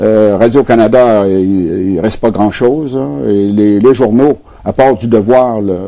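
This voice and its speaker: Here a man with a Quebec accent talks at a very slow pace. His pitch is fairly low and shows ordinary variation. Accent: Québécois French. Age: 70s. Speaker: former politician and economist. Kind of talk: TV interview. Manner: halting, with frequent fillers and repetitions.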